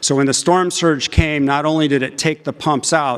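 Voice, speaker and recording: A man's ordinary speaking voice at a moderate pace, with ordinary pitch variation. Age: 60s. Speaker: engineering professor. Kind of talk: conference talk. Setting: stage with audience.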